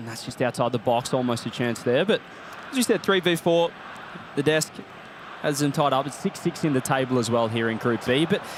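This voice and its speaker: With an Australian accent, a man speaks at a medium pitch and a fairly quick pace. His pitch variation is ordinary, and there is noticeable background noise. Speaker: esports commentator. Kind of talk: live commentary. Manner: animated.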